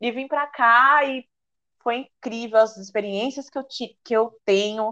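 A woman speaking at a fairly slow pace. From Brazil, São Paulo. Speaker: oceanography student and influencer. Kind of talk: casual chat.

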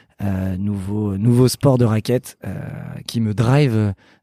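The voice moves at a very slow pace with a dark, mellow tone and a dry, close sound with no echo. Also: man, long, frequent pauses. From Paris region, France (Saint-Cloud). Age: 30s. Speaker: entrepreneur and company founder. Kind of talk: casual interview.

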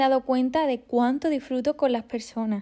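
Against a quiet background, a woman talks at a fairly quick pace. Her high-pitched voice has a dark, mellow tone. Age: 20s. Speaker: podcaster and violinist. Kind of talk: personal faith podcast monologue.

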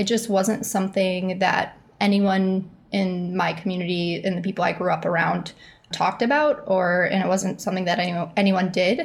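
A somewhat breathy woman talks with an American accent at a moderate pace. Her loudness is very even and her intonation fairly even. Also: medium pitch for a woman. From Chicago. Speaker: crypto artist. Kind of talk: casual interview.

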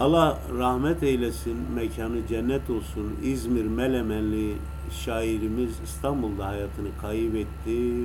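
A man talks at a very slow pace in a very deep, low voice with lively intonation and hardly any pauses. Noticeable background noise and audible room echo surround him. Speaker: radio host. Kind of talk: poetry reading on radio. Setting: radio broadcast over internet. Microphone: echo on voice, low volume due to internet.

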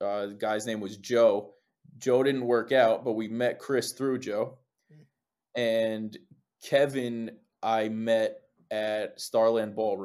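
A man with a New Jersey accent, medium in pitch, at a very slow pace with long, frequent pauses and fairly even intonation. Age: 20s. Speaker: lead singer in a band. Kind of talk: casual interview chat. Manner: laid-back, casual.

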